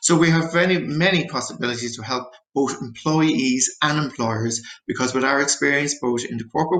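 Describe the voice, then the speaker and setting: A man speaks with an Irish accent. His pace is fairly quick and his pitch medium. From Ireland. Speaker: therapist. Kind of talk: presentation.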